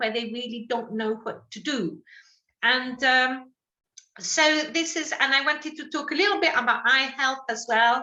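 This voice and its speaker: With a slight French accent, this voice has a bright, sharp tone, a moderate pace and ordinary pitch variation. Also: woman. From France. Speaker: sight loss support worker. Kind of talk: talk to a group.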